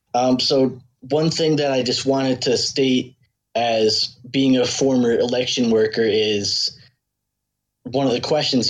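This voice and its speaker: Someone with an American accent speaks in a normal speaking voice. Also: man. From upstate New York. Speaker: caller, former election worker. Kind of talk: call-in question to host. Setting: online voice call via Discord.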